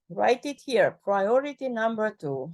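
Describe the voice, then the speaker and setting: This woman has a non-native accent. She talks at a fairly unhurried pace. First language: not English. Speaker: expert reviewer of a document. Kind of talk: feedback session in a work meeting. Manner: animated; halting.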